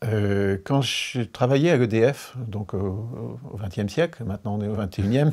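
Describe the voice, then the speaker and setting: A plain, everyday voice from a man, fairly low in pitch, at a fairly slow pace with ordinary pitch variation. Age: 60s. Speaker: engineer, energy expert. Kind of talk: interview.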